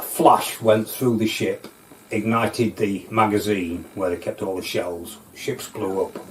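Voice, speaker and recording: Over noticeable background noise, a man talks at a fairly slow pace with a fairly low pitch and ordinary pitch variation. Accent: North Lincolnshire. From North Lincolnshire, England. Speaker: local history interviewee. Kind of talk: oral history storytelling. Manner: halting, with many fillers.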